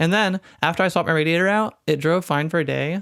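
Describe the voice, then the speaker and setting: Very fast speech is captured in a very clean recording with a silent background. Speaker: card game content creator. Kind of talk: casual voiceover reacting to own video. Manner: casual, rambling.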